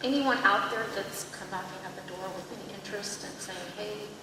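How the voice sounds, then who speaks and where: A woman speaks at a medium pitch with ordinary pitch variation. Noticeable background noise and audible room echo surround her voice. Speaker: school board member. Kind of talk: board meeting discussion. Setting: board of education meeting. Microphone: too far from microphone.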